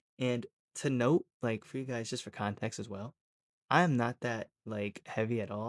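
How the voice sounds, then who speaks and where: Against a quiet background, an unremarkable speaking voice carries fairly even intonation. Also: man. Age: 20s. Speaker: storytime creator. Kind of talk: casual storytelling. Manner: casual, many filler words.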